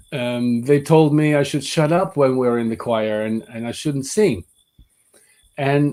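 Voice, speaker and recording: A man with a Dutch accent speaks at a fairly slow pace with lively intonation. His voice is fairly high in pitch and dark and mellow in tone. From Netherlands, Amsterdam. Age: 50s. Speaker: voice teacher. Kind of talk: webinar lecture. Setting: online webinar.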